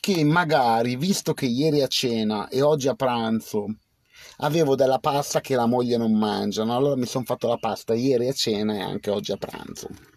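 Over light background noise, a man speaks at a medium pitch and a moderate pace. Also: dry sound with no echo. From Piedmont, Biella area; Piedmont, Italy. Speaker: livestreamer. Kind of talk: casual live stream chat. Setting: outdoors under a cherry tree. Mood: relaxed, reflective. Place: car. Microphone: phone near.

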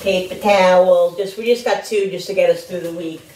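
A woman talks at a fairly quick pace, her fairly low voice slightly mellow with fairly even intonation. Room echo is audible.

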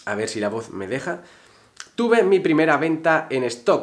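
Against a quiet background, a man with a fairly high pitch speaks at a fairly slow pace. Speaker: photography YouTuber. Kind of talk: casual vlog talk to camera. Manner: animated.

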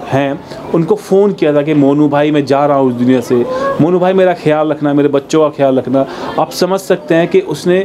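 At a moderate pace and with ordinary pitch variation, a man talks through noticeable background noise. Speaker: vlogger reporting on a needy family. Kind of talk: piece to camera. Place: street.

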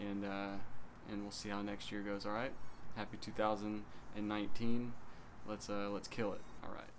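A man talks at a moderate pace with a fairly low pitch. His intonation is monotone and flat, with noticeable background noise behind him. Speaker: small channel vlogger. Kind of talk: casual vlog chat. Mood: relaxed, wry storytelling. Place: home room. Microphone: phone near.

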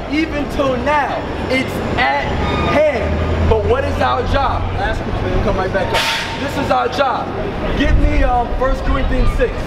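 Loud background noise surrounds a man speaking at a fairly slow pace. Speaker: bishop and street preacher. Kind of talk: street preaching. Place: street. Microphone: camera far.

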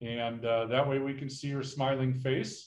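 Audible room echo surrounds the somewhat breathy voice of a man. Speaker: workshop host. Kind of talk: meeting housekeeping instructions. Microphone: video call.

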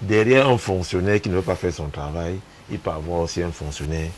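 Here a man talks in a low voice. Faint background noise can be heard.

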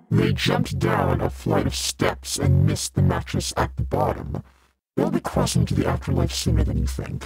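Over faint music in the background, a raspy put-on character voice delivers its lines at a moderate pace with monotone, flat intonation. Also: man, very deep, low pitch for a man. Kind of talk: ASMR roleplay. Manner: mocking, irreverent.

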